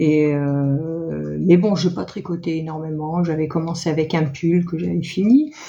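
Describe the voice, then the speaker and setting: This woman has a fairly low pitch with ordinary pitch variation and speaks at a very slow pace. Audible room echo surrounds her voice. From northern France (Nord-Pas-de-Calais). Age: 60s. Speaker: knitting and sewing vlogger. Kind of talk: casual chat. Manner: halting, many hesitations.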